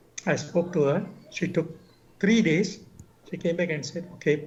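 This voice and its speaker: A man's high-pitched voice at a fairly quick pace, with fairly even intonation. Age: 70s. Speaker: veteran journalist. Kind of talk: interview.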